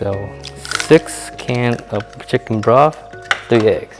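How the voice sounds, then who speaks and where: A soft-spoken man's medium-pitched voice over music in the background. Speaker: home cook. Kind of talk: casual cooking tutorial to camera.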